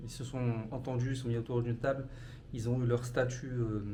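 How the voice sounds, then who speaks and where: Somewhat breathy and medium in pitch, a man speaks at a moderate pace with audible room echo. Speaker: travel vlogger. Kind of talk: casual vlog talk to camera. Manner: hesitant, many fillers.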